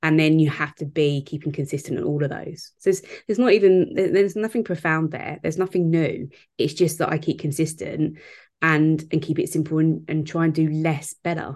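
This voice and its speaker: Over a quiet background, a woman speaks at a fairly quick pace. Her pitch is very deep and low. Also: ordinary pitch variation. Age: 30s. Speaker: business strategist and mentor. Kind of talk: casual chat.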